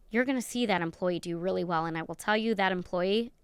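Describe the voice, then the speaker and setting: A woman with an American accent speaks in an animated tone at a medium pitch, recorded very cleanly against a silent background. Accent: New York accent, comes out at times. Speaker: podcast host and neurodiversity consultant. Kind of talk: podcast interview.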